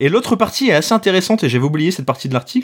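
Speaking with a northern French accent, a man makes very wide pitch swings. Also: very clean recording, silent background. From northern France. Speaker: podcast host. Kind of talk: casual chat.

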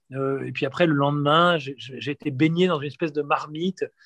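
A man talks at a moderate pace in a fairly high voice with fairly even intonation. The sound is dry and close with no echo, over a quiet background. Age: 40s. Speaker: war reporter and documentary filmmaker. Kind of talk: interview. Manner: halting, frequent word repetitions.

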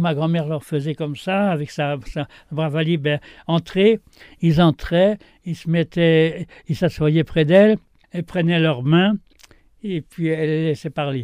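The sound is dry and close with no echo as a man speaks at a fairly slow pace in a fairly high voice, with a dark, mellow tone and ordinary pitch variation. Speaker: retired gardener. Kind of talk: interview. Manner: halting, many repetitions.

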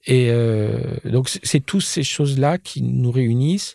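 Recorded very cleanly against a silent background, a man's dark, mellow voice sits at medium pitch with ordinary pitch variation. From Jura, eastern France. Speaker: costume designer. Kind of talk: interview. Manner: hesitant, many repetitions.

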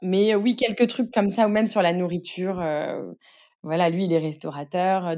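Against a quiet background, a woman with a fairly low pitch and a dark, mellow tone speaks at a moderate pace with ordinary pitch variation. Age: 20s. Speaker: stepmother. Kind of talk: casual chat. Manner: animated.

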